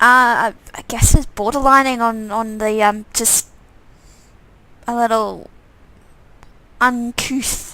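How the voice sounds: A woman speaks slowly at a fairly high pitch, her bright, sharp tone held to fairly even intonation and broken by long, frequent pauses.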